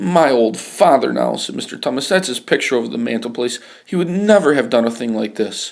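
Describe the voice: Lively intonation in plain read-aloud speech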